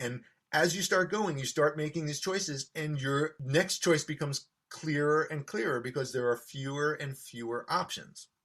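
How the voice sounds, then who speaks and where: Ordinary pitch variation at a moderate pace. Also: man, fairly high pitch for a man. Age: 60s. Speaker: electric violinist. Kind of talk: interview. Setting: home studio. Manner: hesitant fillers.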